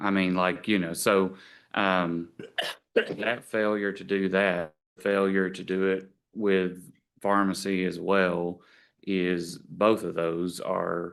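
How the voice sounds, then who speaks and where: Against a quiet background, a man speaks very slowly in a very deep, low pitch with monotone, flat intonation. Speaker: nursing board staff member. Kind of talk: board meeting discussion. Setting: board meeting room with microphones. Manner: loud.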